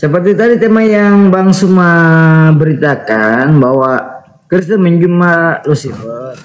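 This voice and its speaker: With very even loudness, a man talks at a very slow pace in a high pitch, his intonation lively. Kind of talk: interfaith debate. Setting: online live stream.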